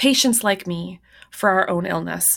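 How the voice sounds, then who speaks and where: On a very clean recording with a silent background, a woman with an unremarkable speaking voice talks with lively intonation. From Canada. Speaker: professor and author. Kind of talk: interview.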